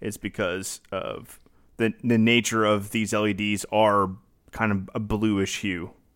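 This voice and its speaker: A man speaks very slowly in a monotone, flat intonation. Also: fairly low pitch for a man, very clean recording, silent background. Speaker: podcast co-host.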